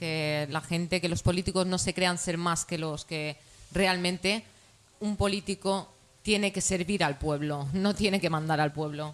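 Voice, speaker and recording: Speaking fairly slowly, a woman uses an unremarkable speaking voice, fairly low in pitch, with fairly even intonation. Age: 30s. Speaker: political activist. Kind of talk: talk show debate.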